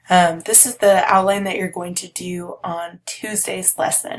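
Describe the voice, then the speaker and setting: The voice is somewhat breathy and its intonation fairly even. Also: woman. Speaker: college instructor. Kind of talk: course overview lecture. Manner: halting, many fillers.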